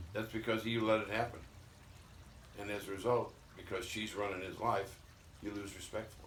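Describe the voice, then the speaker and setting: A man's fairly low voice in an American accent, fairly quick yet with long, frequent pauses, monotone and flat, with audible room echo and noticeable background noise. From Missouri. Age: 70s. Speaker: retired former baseball player. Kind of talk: casual chat. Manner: blunt, emphatic.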